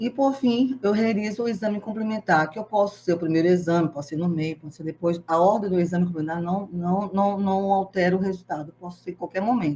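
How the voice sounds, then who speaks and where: Talking at a fairly quick pace with hardly any pauses, a woman uses ordinary pitch variation. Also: medium pitch for a woman. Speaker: organ donation specialist giving a talk. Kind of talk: lecture. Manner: fast; animated.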